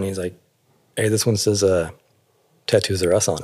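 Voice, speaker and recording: A man with an American accent talks at a fairly quick pace with fairly even intonation. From Alaska and Northern California. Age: 40s. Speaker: tattoo artist. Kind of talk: interview. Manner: thoughtful, measured; hesitant, many fillers.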